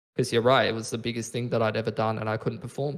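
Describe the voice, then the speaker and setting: The clip is very clean and the background silent. The voice belongs to a man. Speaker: esports shoutcaster. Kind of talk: interview answer. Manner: casual, profane.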